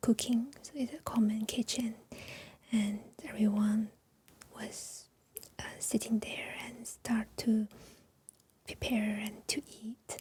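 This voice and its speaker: A soft-spoken woman whispers at a very slow pace, leaving long, frequent pauses. Her loudness swings widely. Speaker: Chinese teacher. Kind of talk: ASMR chat. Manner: soft-spoken, whispered; slow, hesitant.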